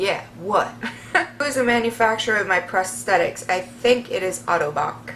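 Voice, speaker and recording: A woman at a medium pitch and moderate pace, with very wide pitch swings and noticeable background noise. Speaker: vlogger. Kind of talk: Q&A vlog. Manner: animated.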